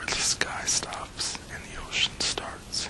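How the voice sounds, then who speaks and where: Whispering in a soothing tone over noticeable background noise. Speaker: ASMR whisperer. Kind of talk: relaxation guided imagery / hypnosis-style script. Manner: whispered, slow, soothing.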